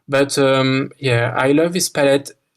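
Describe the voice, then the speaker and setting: A man with a French accent talks at a very slow pace in a fairly high, monotone, flat voice. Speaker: park builder, game design contestant. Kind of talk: interview about own work. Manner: halting, many repetitions and fillers.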